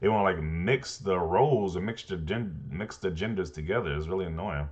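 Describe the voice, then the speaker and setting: A man speaks at a fairly quick pace in a very deep, low voice with ordinary pitch variation. Noticeable background noise runs underneath. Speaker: gaming commentary youtuber. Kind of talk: casual commentary reacting to read-out online posts. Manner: halting, repeats words.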